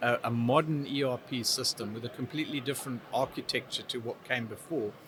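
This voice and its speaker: In a southern African accent, the speech moves at a fairly quick pace with fairly even intonation. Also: man. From Zimbabwe. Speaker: technology business expert. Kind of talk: interview. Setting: trade event.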